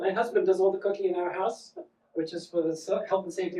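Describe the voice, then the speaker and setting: The voice is dark and mellow, with a South African accent. Its intonation is lively and the pace very fast. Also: man. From South Africa, Johannesburg. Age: 40s. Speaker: comedian. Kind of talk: stand-up. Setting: stage with audience. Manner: animated.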